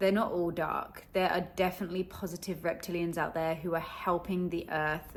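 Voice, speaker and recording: A woman's fairly low voice with an English accent, flat monotone delivery and vocal fry. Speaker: spiritual content creator. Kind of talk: casual video monologue. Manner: casual, chatty.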